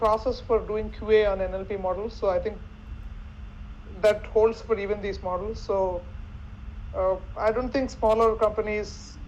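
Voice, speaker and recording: A woman speaks at a moderate pace with a Telugu accent. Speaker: NLP expert panelist. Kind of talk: panel discussion. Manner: halting, with frequent repetitions.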